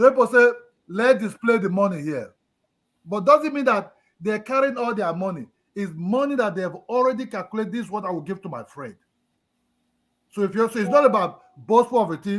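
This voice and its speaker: A loud man speaks in an animated tone at a fairly quick pace. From Nigeria. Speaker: live stream panelist. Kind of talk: casual discussion. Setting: live stream. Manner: emotional, animated.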